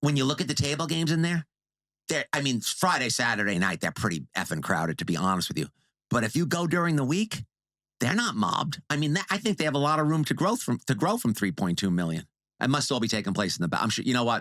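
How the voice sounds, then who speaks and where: A man talks at a very fast pace with vocal fry, very wide pitch swings and very even loudness. The recording is very clean and dry, close with no echo and a silent background. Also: medium pitch for a man. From New York, Long Island. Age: 60s. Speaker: casino industry video creator. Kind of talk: casual podcast interview. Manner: animated.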